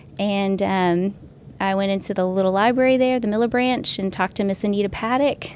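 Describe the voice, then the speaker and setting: A woman with an American accent has a normal speaking voice at a medium pitch. She talks at a fairly quick pace with ordinary pitch variation. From US South, Arkansas/Oklahoma border. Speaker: librarian. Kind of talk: casual chat.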